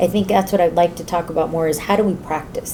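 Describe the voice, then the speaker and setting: Speaking in a monotone, flat way with a Spanish accent, a woman is heard over noticeable background noise. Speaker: community college trustee. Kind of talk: interview. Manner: hesitant, many fillers.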